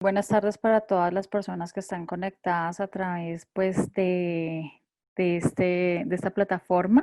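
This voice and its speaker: A woman with a Bogotá accent speaks at a fairly slow pace, her medium-pitched voice dark and mellow. Her intonation stays fairly even. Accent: Bogotá Colombian Spanish. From Colombia, Bogotá. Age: 30s. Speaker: communicator and theologian. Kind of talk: online panel discussion. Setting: video call.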